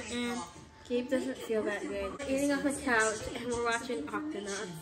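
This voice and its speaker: There is loud background noise as a woman speaks at a moderate pace. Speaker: mother vlogger. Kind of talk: casual vlog chat. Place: home room.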